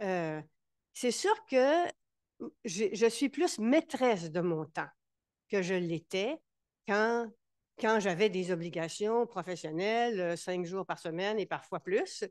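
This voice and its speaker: A woman's very slow, lively-toned speech with long, frequent pauses in a dry, close sound with no echo. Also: medium pitch for a woman. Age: 70s. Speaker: board member of a mental health organization. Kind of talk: casual conversation at a campaign launch. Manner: halting, many repetitions.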